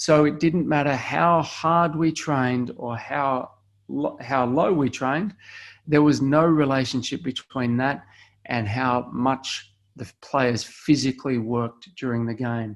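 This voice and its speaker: A man speaks with an Australian accent at a fairly slow pace. His pitch is medium, with ordinary variation. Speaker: sports performance scientist. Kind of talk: webinar presentation.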